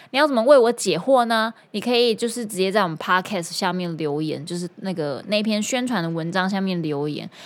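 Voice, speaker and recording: A very clean recording with a silent background captures speech full of lively intonation. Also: woman. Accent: Taiwanese. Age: 30s. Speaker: singer and guitar teacher. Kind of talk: casual podcast monologue.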